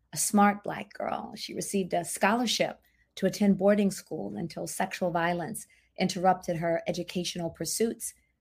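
This woman has an American accent and a medium pitch. Her voice shows vocal fry at a moderate pace. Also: fairly even intonation, very clean recording, silent background. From US South, Memphis, Tennessee. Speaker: diversity, equity and inclusion practitioner. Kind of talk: interview.

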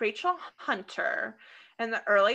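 Over a quiet background, a woman with an American accent speaks in a bright, sharp tone with very wide pitch swings. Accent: Midwestern American, sometimes thick. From Iowa, US Midwest (Des Moines). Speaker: podcast co-host. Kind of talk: casual chat. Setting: home recording.

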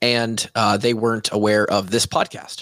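A medium-pitched man's voice, dry and close with no echo, in a very clean recording with a silent background. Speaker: podcast host and fitness coach. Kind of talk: solo podcast monologue. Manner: lecture-like, conversational.

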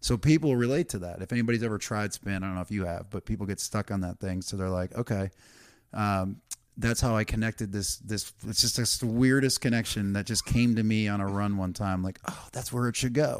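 In a very clean recording with a silent background, a man talks at a fairly quick pace with ordinary pitch variation. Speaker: comedian. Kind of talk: casual interview chat. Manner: high energy.

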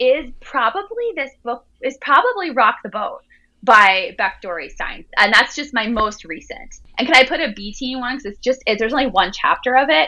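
In an American accent, a woman with a high pitch uses a raised, projected voice with a bright, sharp tone. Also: lively intonation, moderate pace, hardly any pauses, big swings in loudness. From Jersey Shore, New Jersey. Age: 30s. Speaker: author. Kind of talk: interview.

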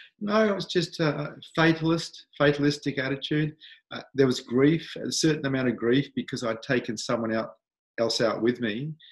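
Somewhat breathy and fairly high-pitched, a man with an Australian accent speaks at a moderate pace with lively intonation. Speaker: spiritual teacher. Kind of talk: interview.

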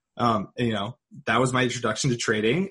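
A man rattles along very fast, his pitch moving in a normal way. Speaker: podcast host and trader. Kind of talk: casual interview chat. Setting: video call.

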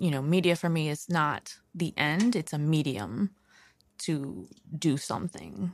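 In a very clean recording with a silent background, a woman with an American accent speaks at a fairly slow pace in a very deep, low pitch with lively intonation. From Queens, New York. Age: 30s. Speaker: documentary filmmaker. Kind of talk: casual interview.

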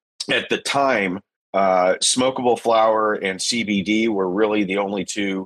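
A man with a Texan accent speaks fairly slowly at a fairly low pitch with fairly even intonation. The sound is dry and close, with no echo. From Texas, Pasadena (Houston area). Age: 50s. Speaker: hemp industry advocate. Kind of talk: podcast interview.

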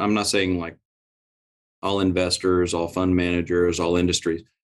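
Very deep, low pitch from a man with an American accent. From Oklahoma. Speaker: real estate investment firm president. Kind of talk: interview conversation.

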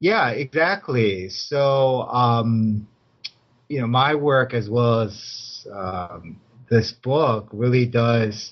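Very slowly, a man with an American accent speaks at a medium pitch with ordinary pitch variation. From US Midwest, Chicago. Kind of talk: interview. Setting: video call.

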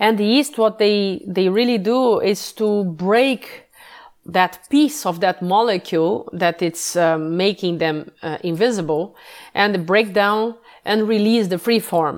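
With a Portuguese accent, a woman speaks fairly slowly at a medium pitch, her pitch varying in an ordinary way. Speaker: yeast sensory scientist. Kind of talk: interview. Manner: halting.

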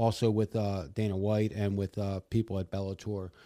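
With a plain, everyday voice, a man talks at a moderate pace and fairly low pitch with fairly even intonation, on a very clean recording with a silent background. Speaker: fight promotion executive. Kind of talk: casual chat. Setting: studio.

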